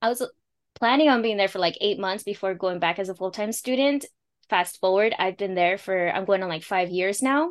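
A woman's plain, everyday voice in an American accent, medium pitch with ordinary pitch variation, fairly quick pace, quiet background. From Los Angeles, California. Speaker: immigrant money coach. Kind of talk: casual interview chat, explaining finance.

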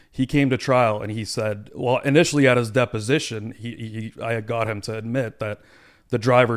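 A man with a normal speaking voice talks at a medium pitch and fairly even intonation on a very clean recording with a silent background. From Toronto area, Canada, of Punjabi Indian family. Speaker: lawyer. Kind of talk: casual chat.

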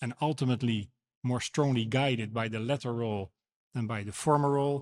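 On a very clean recording with a silent background and a dry, close, echo-free sound, a man with a Dutch accent speaks at a medium pitch with ordinary variation. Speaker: moderator and council chairman. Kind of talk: debate rebuttal. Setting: stage with audience.

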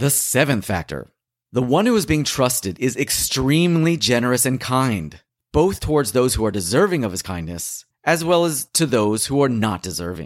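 On a very clean recording with a silent background, a man of medium pitch talks at a moderate pace with very wide pitch swings. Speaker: audiobook narrator. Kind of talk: audiobook reading of a religious text. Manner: formal; measured, steady.

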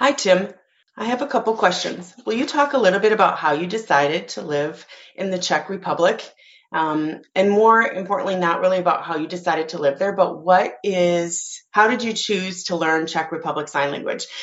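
A woman speaks in a normal speaking voice at a moderate pace. Her medium pitch carries lively intonation. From United States. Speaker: sign language interpreter, listener. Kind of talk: recorded voicemail. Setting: voicemail recording.

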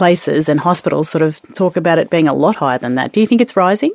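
Speaking with an Australian accent, a woman uses ordinary pitch variation. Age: 40s. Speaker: podcast co-host. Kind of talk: casual educational chat.

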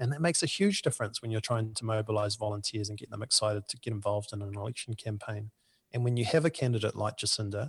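A somewhat breathy man's voice at medium pitch, fairly quick and with fairly even intonation, over a quiet background. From New Zealand. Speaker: union political organizer. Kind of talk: interview. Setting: remote call.

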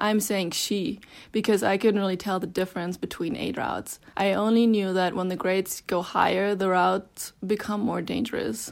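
A woman with a German accent speaks at a moderate pace with fairly even intonation and hardly any pauses, in a very clean recording over a silent background. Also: medium pitch for a woman. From Germany, Berlin. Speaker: climber and mountain guide. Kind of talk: reading aloud.

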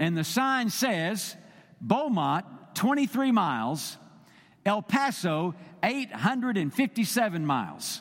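Over a very clean recording with a silent background, a man with a Texan accent and a high pitch speaks at a very slow pace, his pitch swinging very widely. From Texas. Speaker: visiting preacher for a state Baptist body. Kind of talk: sermon. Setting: church. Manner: halting, many fillers.

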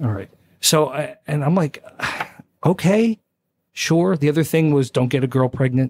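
The speaker has an American accent and keeps a moderate pace with ordinary pitch variation, pausing long and often. The sound is dry and close, with no echo. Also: man, fairly high pitch for a man. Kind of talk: casual interview. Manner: calm, even-tempered.

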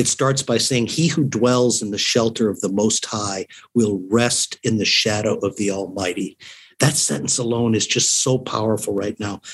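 Here a man with an unremarkable speaking voice talks at a moderate pace and medium pitch, with ordinary pitch variation. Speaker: organization president. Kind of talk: radio interview, reflective.

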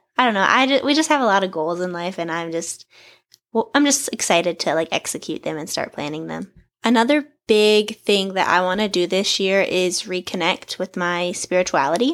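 Lively in intonation, a woman with a plain, everyday voice of medium pitch talks at a fairly quick pace in a very clean recording with a silent background. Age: 20s. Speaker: podcast host. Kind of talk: casual solo monologue. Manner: chatty, laughs often.

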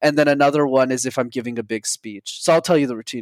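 Heard in a very clean recording with a silent background and a dry, close sound with no echo, a man with a plain, everyday voice and a fairly high pitch speaks at a fairly quick pace. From Montreal, Canada. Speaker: public speaking coach. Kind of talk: interview.

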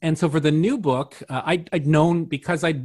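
Somewhat breathy, a man with a Canadian accent talks at a fairly quick pace. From Windsor, Ontario, Canada. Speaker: artist, writer and publisher. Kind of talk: interview. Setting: online call. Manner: halting.

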